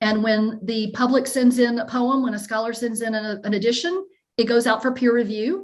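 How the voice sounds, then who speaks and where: A fairly high-pitched woman's voice with a slight Southern US accent and ordinary pitch variation. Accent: slight Southern drawl. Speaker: professor. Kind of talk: lecture Q&A. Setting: video call. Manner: halting.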